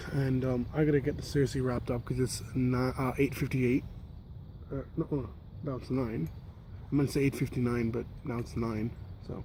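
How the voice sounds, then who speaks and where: A soft-spoken man at a medium pitch, fairly quick and somewhat breathy, with a dark, mellow tone and fairly even intonation. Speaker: YouTuber, cycling vlogger. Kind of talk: casual vlog. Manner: soft-spoken, keeping voice down.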